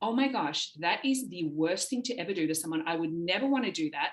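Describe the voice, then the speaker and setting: A woman at medium pitch talks at a very fast pace with ordinary pitch variation. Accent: Australian. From Australia, Sydney. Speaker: talent agency founder. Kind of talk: podcast interview.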